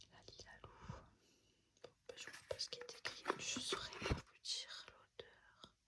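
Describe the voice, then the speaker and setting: Whispering very slowly, a woman leaves long, frequent pauses while her loudness swings a lot. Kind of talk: ASMR unboxing, whispered product talk. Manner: whispered; calm, relaxed.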